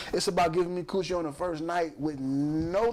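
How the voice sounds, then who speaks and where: A man speaks in a high pitch with ordinary pitch variation at a moderate pace. Noticeable background noise runs underneath. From Chicago, US Midwest. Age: 40s. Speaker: podcast host. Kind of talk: casual chat.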